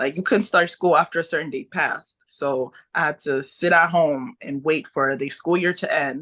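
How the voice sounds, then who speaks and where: At a moderate pace, a woman with a Haitian accent speaks in a bright, sharp tone at fairly low pitch, with ordinary pitch variation. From Haiti, moved to US at age four. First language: Haitian Creole. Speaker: pro wrestler. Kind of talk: interview.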